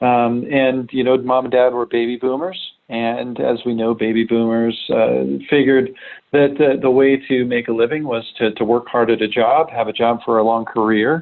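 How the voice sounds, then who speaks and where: A man at a moderate pace, medium in pitch, with monotone, flat intonation. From United States, moved around. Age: 40s. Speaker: remote tech product director. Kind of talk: podcast interview. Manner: hesitant, many fillers.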